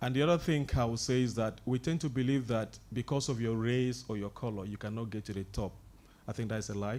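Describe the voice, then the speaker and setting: Man with a non-native accent, medium pitch and ordinary pitch variation, at a fairly quick pace. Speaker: conference panelist, engineer. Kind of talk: panel discussion.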